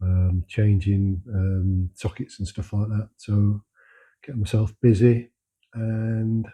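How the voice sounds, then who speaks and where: Somewhat breathy and with fairly even intonation, a man speaks at a fairly slow pace in a London accent. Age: 60s. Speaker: home renovator, former construction worker. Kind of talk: casual monologue to camera. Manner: halting, many fillers.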